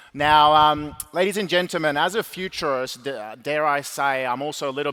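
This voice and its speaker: Fairly high-pitched and fairly quick, a man's bright, sharp voice has ordinary pitch variation. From Sweden, Stockholm. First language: Swedish. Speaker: keynote speaker, futurist. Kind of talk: keynote speech. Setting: stage with audience. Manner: animated.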